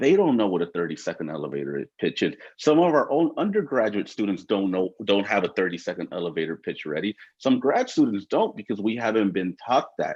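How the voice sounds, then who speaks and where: Pitched fairly low, a man talks at a fairly quick pace. His pitch swings very widely. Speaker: youth program staff at a university. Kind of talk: panel discussion. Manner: animated.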